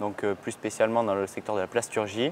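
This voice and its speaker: Medium in pitch and fairly even in intonation, a man speaks at a moderate pace in a plain, everyday voice. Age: 20s. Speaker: work-study student in purchasing. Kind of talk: interview testimony.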